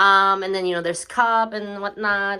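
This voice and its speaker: A woman with a non-native accent speaks at a moderate pace in a medium-pitched voice with a bright, sharp tone. The recording is very clean, with a silent background. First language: not English. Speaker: lifestyle vlogger. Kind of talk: home tour vlog. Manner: casual, hesitant with fillers.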